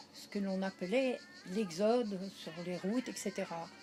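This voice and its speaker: A woman at a fairly slow pace, ordinary pitch variation, with noticeable background noise. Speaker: interviewee recalling wartime childhood. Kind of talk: interview.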